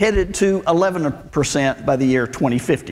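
In a Southern US accent, a man talks very slowly with lively intonation. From Arkansas, US South. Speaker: preacher and Bible professor. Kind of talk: sermon. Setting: church with audience. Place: church. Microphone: lapel.

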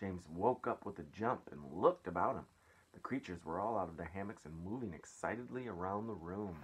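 The recording is plain reading aloud.

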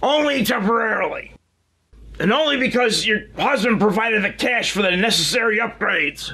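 A man puts on a character voice at an extremely high pitch. He speaks in a raised, projected voice at a moderate pace. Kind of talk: comedic parody show hosting.

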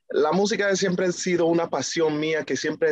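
Moderate pace, dry sound with no echo, and a quiet background. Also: man. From New York, US, Dominican family. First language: English (speaking Spanish). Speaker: reggaeton singer; guest. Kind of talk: interview; interview answer. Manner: halting, many fillers. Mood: friendly, smiling. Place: home room. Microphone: video call.

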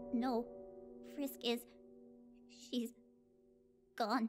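Over background music, a female-sounding voice performs a put-on character voice in a nervous tone. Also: fairly high pitch for a woman. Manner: stammering, nervous.

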